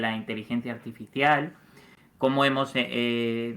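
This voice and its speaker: On a very clean recording with a silent background, a man speaks in a medium pitch. His intonation is monotone and flat. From Mexico. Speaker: journalist, community manager. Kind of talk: casual interview.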